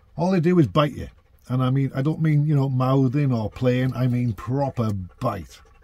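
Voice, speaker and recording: The intonation is lively and the sound is dry with no echo. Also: man. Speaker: van dweller vlogger. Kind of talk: casual vlog chat. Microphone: phone near.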